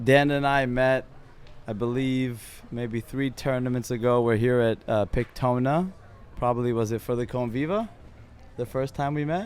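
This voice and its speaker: Using an ordinary speaking voice, a man talks at a moderate pace with fairly even intonation. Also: medium pitch for a man. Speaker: podcast host, company co-founder. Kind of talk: casual podcast interview.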